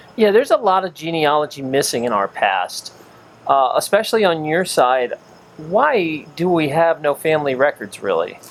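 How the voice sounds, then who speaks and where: Fairly high male voice with lively intonation and a moderate pace, over noticeable background noise. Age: 40s. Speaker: interviewer, son of the author. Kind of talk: casual family interview.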